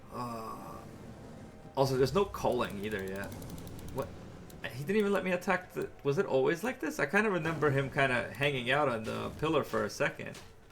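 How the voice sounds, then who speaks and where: A man with an American accent, fairly high pitch, very wide pitch swings, a fairly quick pace broken by long, frequent pauses, and noticeable background noise. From New York. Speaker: video game streamer. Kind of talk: live gameplay commentary. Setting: live stream. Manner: casual, halting with fillers.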